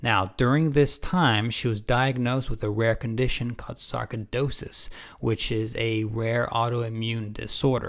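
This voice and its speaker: In a very clean recording with a silent background, a man has an ordinary speaking voice, a medium pitch, and ordinary pitch variation. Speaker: channel host introducing a guest story. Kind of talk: casual video introduction.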